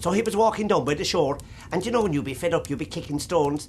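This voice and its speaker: A man with a Cork accent at a very fast pace. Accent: Irish, Cork. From Ireland. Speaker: traditional storyteller. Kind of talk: traditional storytelling to an audience. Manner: lively, humorous.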